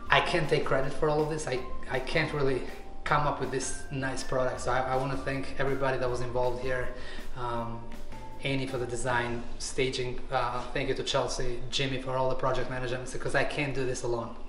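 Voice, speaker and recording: A man speaks at a fairly quick pace in a monotone, flat intonation. Audible room echo and faint background music are present. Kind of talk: property walkthrough commentary. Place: kitchen. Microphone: phone near.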